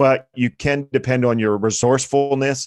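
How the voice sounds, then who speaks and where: A man with a Pennsylvania accent speaks with fairly even intonation on a very clean recording with a silent background. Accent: American, Pennsylvania. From central Pennsylvania. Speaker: author and entrepreneur. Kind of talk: interview.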